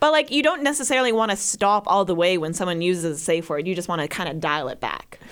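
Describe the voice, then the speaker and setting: A woman's medium-pitched voice at a very fast pace with hardly any pauses and very wide pitch swings. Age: 20s. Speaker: podcast co-host. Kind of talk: casual chat.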